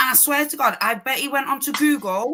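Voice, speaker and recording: Speaking at a fairly quick pace, a woman with a high-pitched voice talks in an East Midlands accent. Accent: typical East Midlands. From East Midlands, England. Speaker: podcast co-host. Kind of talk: casual chat.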